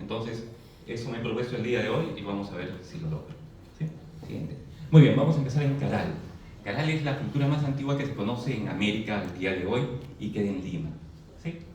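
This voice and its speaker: With long, frequent pauses, a man at a medium pitch speaks with lively intonation, amid noticeable background noise and audible room echo. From Peru, Arequipa. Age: 40s. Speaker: presenter at a commemorative event. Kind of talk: presentation lecture to an audience. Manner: hesitant, frequent fillers and tag questions.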